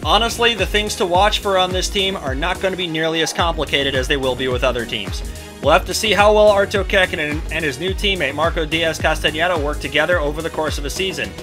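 Over music in the background, a man speaks at a very fast pace with hardly any pauses. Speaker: league host narrator. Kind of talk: commentary.

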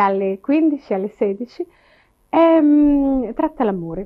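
A woman is talking. The background is quiet. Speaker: television presenter. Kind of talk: interview answer. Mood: smiling, relaxed, confident. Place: home room.

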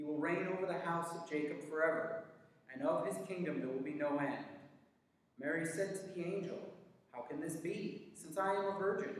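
Moderate pace amid strong room echo. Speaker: worship leader. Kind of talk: liturgical prayer, spoken in a church service; fervent prayer. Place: church. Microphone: camera far.

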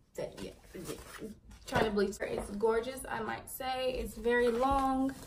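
Noticeable background noise sits under a woman's high-pitched voice. She talks at a fairly slow pace with fairly even intonation. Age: 20s. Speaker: beauty vlogger. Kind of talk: product review. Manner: casual, chatty. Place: home room. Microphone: phone near.

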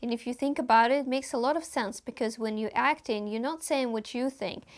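The voice carries a Russian accent. The background is quiet. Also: woman. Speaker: actor. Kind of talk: vlog monologue. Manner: animated. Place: home room.

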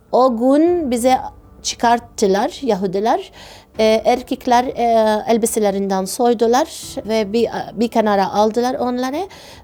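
A woman speaks at a fairly slow pace with an Arabic accent. Her pitch is fairly high with ordinary variation, her tone is dark and mellow, and her loudness stays very even. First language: Arabic (speaking Turkish). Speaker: obstetrician. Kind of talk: testimony. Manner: halting.

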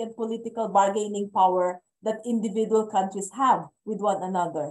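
A woman has a dark, mellow tone. She speaks at a moderate pace. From Philippines. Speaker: policy advocate; speaker. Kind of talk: online panel discussion. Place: home room. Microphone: video call.

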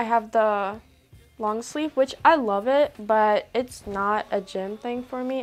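Faint music can be heard behind the speaker. The voice belongs to a woman. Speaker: vlogger. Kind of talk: casual vlog chat. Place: home room. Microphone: lapel.

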